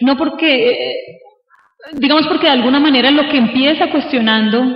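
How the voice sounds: There is audible room echo around a woman with a high pitch. She talks at a moderate pace. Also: ordinary pitch variation.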